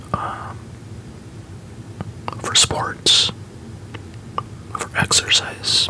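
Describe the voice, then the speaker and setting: Someone is whispering in a gentle tone. Noticeable background noise can be heard. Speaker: watch collector. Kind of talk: ASMR whispered show-and-tell. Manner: whispered, gentle.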